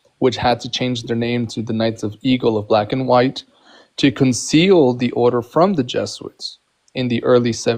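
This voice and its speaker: A man with a non-native accent speaks at a moderate pace. His pitch is medium and his intonation fairly even. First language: not English. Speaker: Freemason. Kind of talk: heated debate. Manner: halting.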